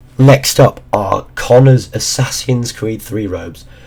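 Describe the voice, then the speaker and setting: The voice is somewhat breathy. Its pace is fairly slow. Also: man. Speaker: gaming YouTuber. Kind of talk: casual talk to camera.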